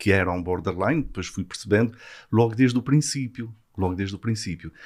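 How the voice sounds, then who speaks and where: A man speaks with a slight Azorean accent. The recording is very clean, with a silent background. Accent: slight Azorean (São Miguel). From Azores, São Miguel. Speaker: psychiatrist. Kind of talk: explanatory interview.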